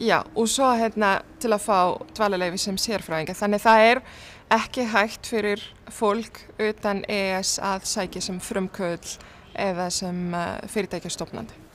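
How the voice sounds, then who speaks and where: A woman speaks at a medium pitch with fairly even intonation in a normal speaking voice, over light background noise. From Tunisia. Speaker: tech entrepreneur; news interviewee. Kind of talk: news interview. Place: office.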